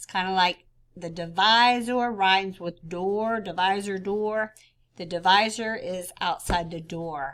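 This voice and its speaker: Speaking in a plain, everyday voice at medium pitch, a woman talks at a fairly slow pace with fairly even intonation and big swings in loudness. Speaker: fourth grade teacher. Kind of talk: tutorial.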